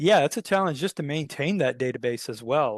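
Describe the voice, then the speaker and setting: Against a quiet background, a man talks with a Southern US accent in a dry, close sound with no echo. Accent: Southern twang. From US South. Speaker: tech company CEO. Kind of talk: interview.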